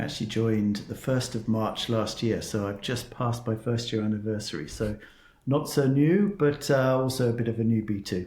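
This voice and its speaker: A somewhat breathy man with a southern English accent, speaking at a moderate pace. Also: medium pitch for a man, ordinary pitch variation. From southern England, Cornwall. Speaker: tech executive. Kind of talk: interview.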